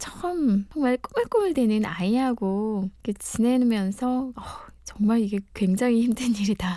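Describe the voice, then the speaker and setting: Fairly high for a woman yet dark and mellow in tone, her voice moves at a fairly slow pace with ordinary pitch variation. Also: very even loudness. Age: 40s. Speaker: mother of three, former amateur radio DJ. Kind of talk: interview testimony.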